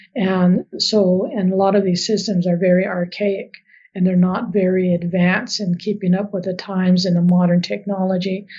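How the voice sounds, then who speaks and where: A woman's somewhat breathy voice at a medium pitch, with monotone, flat intonation. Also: moderate pace. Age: 50s. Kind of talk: podcast interview.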